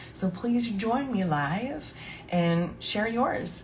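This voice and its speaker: With lively intonation and a very slow pace, a woman talks in a space with audible room echo and noticeable background noise. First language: French. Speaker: podcast host and somatic coach. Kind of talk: casual live podcast monologue. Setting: live stream. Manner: hesitant, many fillers.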